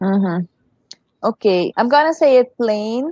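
With a dark, mellow tone, a woman speaks fairly slowly and with lively intonation. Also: dry, close sound with no echo. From Suriname. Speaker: former volleyball player and coach. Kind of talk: casual interview chat. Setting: live-streamed video call.

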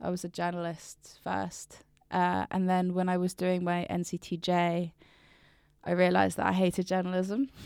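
A woman speaks at a moderate pace in a fairly low voice, her intonation flat and monotone. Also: very clean recording, silent background. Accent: southern English. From Brighton, southern England. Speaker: poet. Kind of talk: casual interview chat.

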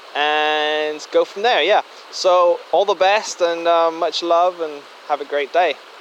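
A man talks with fairly even intonation in a high-pitched voice. Noticeable background noise is present. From Germany. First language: German. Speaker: listener. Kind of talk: voice memo. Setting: outdoors by a creek.

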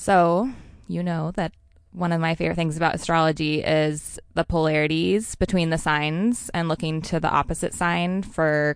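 Her pitch is very deep and low for a woman, and she talks at a moderate pace. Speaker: intuitive astrologer. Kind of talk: casual interview chat.

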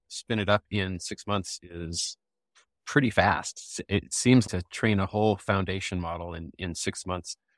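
A man speaks in a normal speaking voice at a fairly low pitch with ordinary pitch variation, in a dry, close sound with no echo. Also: very clean recording, silent background. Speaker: software developer. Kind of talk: casual tech discussion. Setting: live audio space call.

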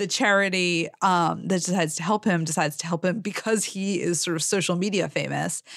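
A woman's fairly low voice with vocal fry, fairly quick and with hardly any pauses, fairly even in intonation and very even in loudness, in a very clean recording with a silent background. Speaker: critic and podcast co-host. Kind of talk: casual chat.

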